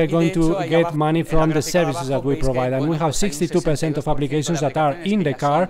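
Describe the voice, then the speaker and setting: Noticeable background noise accompanies a man with a fairly high pitch. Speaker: conference panelist. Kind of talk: conference presentation. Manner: halting.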